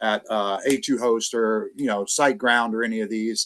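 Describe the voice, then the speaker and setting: This man has a bright, sharp tone and lively intonation, speaking at a moderate pace. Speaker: PBN builder, SEO guest speaker. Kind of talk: webinar presentation. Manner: excited.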